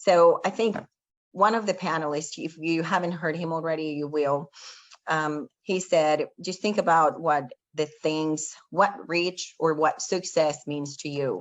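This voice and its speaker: A woman with a fairly low pitch and ordinary pitch variation, at a fairly slow pace. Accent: Spanish. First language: Spanish. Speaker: panel speaker. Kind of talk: motivational talk.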